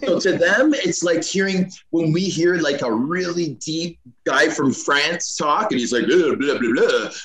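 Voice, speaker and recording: Amid noticeable background noise, a man with a Canadian accent speaks at a fairly slow pace in a high pitch with lively intonation. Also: hardly any pauses. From Canada, Scarborough (Toronto). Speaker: retired hockey player. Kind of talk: podcast interview.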